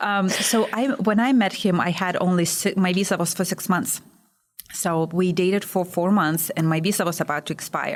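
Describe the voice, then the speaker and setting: A woman with a Lithuanian accent at a medium pitch and moderate pace, her intonation fairly even and loudness very even. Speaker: small business owner. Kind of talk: podcast interview.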